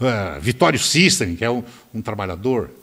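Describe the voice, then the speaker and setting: The speaker is a man with a medium-pitched voice. He talks fairly quickly. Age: 70s. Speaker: politician. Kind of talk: interview. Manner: animated.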